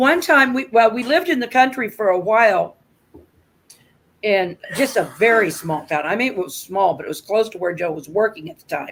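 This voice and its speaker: Her loudness swings widely as this woman talks at a fairly high pitch, with very wide swings in pitch too. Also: moderate pace. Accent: American. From US Midwest, rural Nebraska. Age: 60s. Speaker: livestream host. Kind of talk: casual chat.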